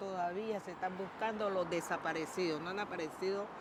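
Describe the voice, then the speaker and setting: Noticeable background noise and audible room echo surround a woman who speaks at a moderate pace with a fairly low pitch and monotone, flat intonation. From Colombia, Buenaventura. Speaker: trade unionist, former nurse. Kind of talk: testimony.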